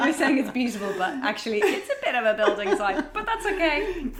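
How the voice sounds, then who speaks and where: A woman with an Irish accent, fairly quick, with very wide pitch swings and noticeable background noise. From Ireland. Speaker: magazine editor and stylist. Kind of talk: casual interview chat. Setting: at home.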